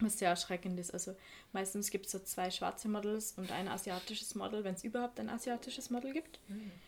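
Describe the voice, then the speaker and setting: A woman talks at a fairly quick pace in a somewhat breathy voice of medium pitch, with ordinary pitch variation. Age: 20s. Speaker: photo editor and photographer. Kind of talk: casual chat.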